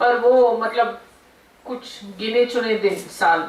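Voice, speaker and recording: A woman's high-pitched voice comes through audible room echo, with noticeable noise in the background. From South India. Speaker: guest speaker. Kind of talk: speech at college event. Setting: seminar hall with audience. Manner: unscripted, hesitant.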